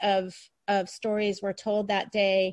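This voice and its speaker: In a normal speaking voice at medium pitch, a woman talks at a fairly slow pace, her sound dry and close with no echo against a quiet background. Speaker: podcast host and author. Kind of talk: podcast interview conversation.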